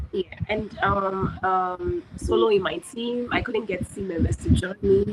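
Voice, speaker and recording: Fairly slow talk from a woman, noticeable background noise around her. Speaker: hackathon participant pitching a product. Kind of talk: product pitch. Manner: halting.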